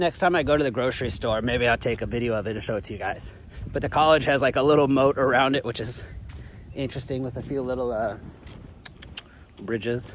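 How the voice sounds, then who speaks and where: A man with an American accent talks at a very fast pace in a medium pitch, with ordinary pitch variation and long, frequent pauses. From United States. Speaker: travel vlogger. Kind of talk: casual vlog monologue. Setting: outdoors, walking in a city. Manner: loud.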